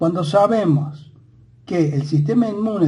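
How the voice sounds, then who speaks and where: The voice has a dark, mellow tone and is somewhat breathy, moving at a fairly slow pace. Audible room echo surrounds it. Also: man. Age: 60s. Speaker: lecturer on science and history. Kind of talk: monologue lecture. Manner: halting with many fillers.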